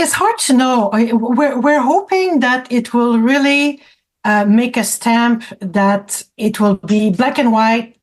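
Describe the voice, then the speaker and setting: Very slow, high-pitched speech from a woman in a French accent, with ordinary pitch variation and very even loudness. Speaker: francophone community advocate. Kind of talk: radio interview. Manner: halting, with many repetitions.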